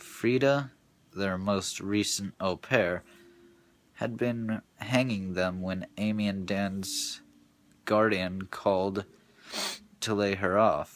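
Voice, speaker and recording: This man talks at a very slow pace, leaving long, frequent pauses. His pitch is fairly low and his intonation fairly even. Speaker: amateur audiobook reader. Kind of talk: read-aloud of a novel. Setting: home recording, basic equipment.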